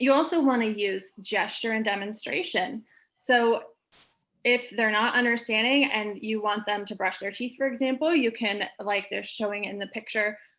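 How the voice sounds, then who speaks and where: A woman talks at a fairly high pitch, her pitch varying in an ordinary way. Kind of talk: presentation. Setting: video call. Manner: fast.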